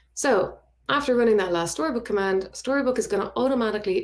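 A woman talks at a very fast pace with very wide pitch swings. The background is quiet. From Ireland, Dublin. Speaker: front-end web developer, conference speaker. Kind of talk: conference tech talk with live code demo. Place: home room.

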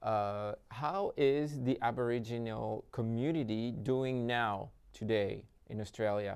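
With a French accent, the speaker talks at a very slow pace with ordinary pitch variation over a quiet background. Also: man. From French Polynesia. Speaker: festival interviewer. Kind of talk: interview. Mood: polite, slightly hesitant. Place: hall. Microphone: lapel.

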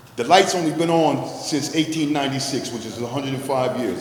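A man with an American accent speaks at a moderate pace and a fairly high pitch, with fairly even intonation. The recording has audible room echo and noticeable background noise. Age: 60s. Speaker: business owner giving public testimony. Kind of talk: public hearing testimony.

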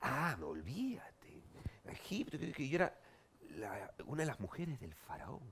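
A man speaking at a fairly slow pace. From Peru. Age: 40s. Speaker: TV host and comedian; TV host, comedian. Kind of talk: talk show interview. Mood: playful, joking. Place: studio. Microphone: headset.

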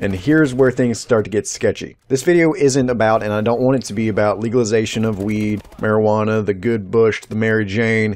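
A man's medium-pitched voice with ordinary pitch variation and hardly any pauses. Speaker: YouTuber. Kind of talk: opinion monologue / rant. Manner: rambling.

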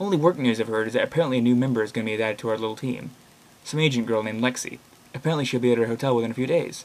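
Natural-voiced reading aloud

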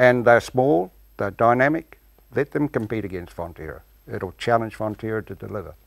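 The speaker has a New Zealand accent and a moderate pace, with ordinary pitch variation. Loudness swings widely against a quiet background. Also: man. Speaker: dairy farmer and cooperative shareholder council member; cooperative shareholder council member. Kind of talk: TV panel discussion. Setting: TV studio. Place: studio.

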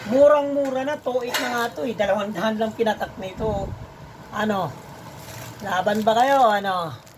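Noticeable background noise fills the clip. Over it, a woman speaks at a fairly high pitch. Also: ordinary pitch variation. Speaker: live online seller and cup maker. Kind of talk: street-seller style sales pitch, live-selling promo with a rapid hard sell. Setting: live stream to viewers online. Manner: hyped, boastful, chatty with viewers.

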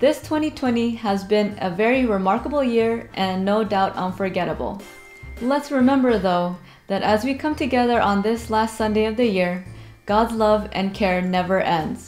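A woman at a moderate pace with ordinary pitch variation, faint music in the background. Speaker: church service host. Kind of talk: scripted welcome announcement. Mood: warm, gentle. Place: home room.

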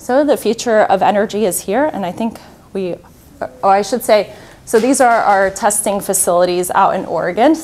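Talking at a fairly quick pace, a woman has an American accent. Her pitch variation is ordinary. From Slovakia, raised mainly in Florida, US. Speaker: nuclear industry representative; presenter. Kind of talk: conference presentation. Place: hall.

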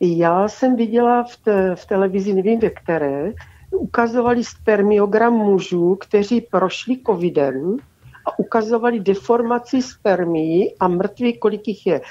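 A woman with an unremarkable speaking voice talks at medium pitch and a fairly slow pace. Her loudness swings widely, while her pitch variation stays ordinary. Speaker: caller. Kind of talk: call-in comment. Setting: phone call.

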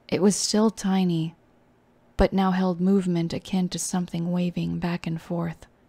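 A soft-spoken, somewhat breathy voice with a dark, mellow tone and monotone, flat intonation. The recording is very clean, with a silent background. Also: woman. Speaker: VTuber reading horror stories. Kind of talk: horror story reading. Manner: soft, comforting.

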